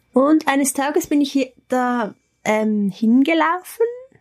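A woman speaks with a somewhat breathy voice. Her intonation is lively. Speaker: spiritual practitioner. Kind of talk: casual chat. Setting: holiday hut in the Alps.

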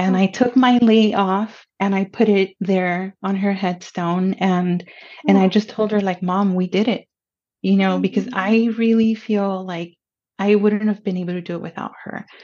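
Moderate-paced speech in a Spanish accent, with a monotone, flat intonation. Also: woman, medium pitch for a woman. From Pomona, California. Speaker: college counselor. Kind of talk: casual interview chat.

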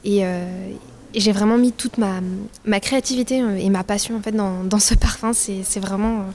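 At a fairly slow pace, a woman speaks in a monotone, flat intonation at medium pitch. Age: 20s. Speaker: student. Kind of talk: interview testimony. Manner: halting.

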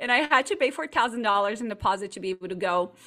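A woman with a Portuguese accent speaks at a medium pitch in a bright, sharp tone, recorded very cleanly against a silent background. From Brazil, partly raised in Chile. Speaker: marketing agency owner. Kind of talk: interview. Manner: animated.

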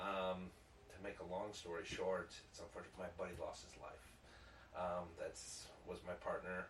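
Against noticeable background noise and audible room echo, a man with an American accent speaks at a moderate pace, with long, frequent pauses and big swings in loudness. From Chicago area, Illinois (Downers Grove). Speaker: business owner and Marine veteran. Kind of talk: casual chat.

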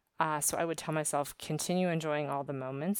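On a very clean recording with a silent background, a woman with an American accent speaks at a very deep, low pitch with fairly even intonation. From US East Coast, Maryland. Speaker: podcast industry worker. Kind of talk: casual monologue reflection. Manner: hesitant, many fillers.

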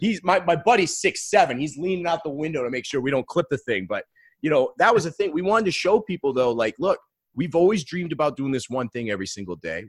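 Speaking at a very fast pace, a man with a fairly high pitch and vocal fry makes very wide pitch swings, in a dry, close sound with no echo. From Maine, US. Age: 30s. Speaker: business coach. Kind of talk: casual interview chat.

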